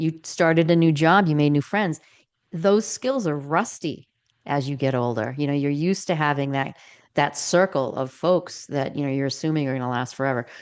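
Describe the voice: The woman's voice is low-pitched, with a clear, smooth tone. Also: ordinary pitch variation, moderate pace.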